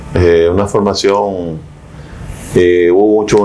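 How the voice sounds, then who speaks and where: Noticeable background noise is present. Over it, a man is speaking. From Dominican Republic, Mao. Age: 70s. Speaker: philosophy professor. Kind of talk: interview. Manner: halting.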